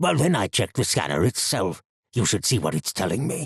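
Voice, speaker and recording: This put-on character voice has very wide pitch swings at a fairly quick pace. The sound is dry and close, with no echo. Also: man, medium pitch for a man. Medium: read story.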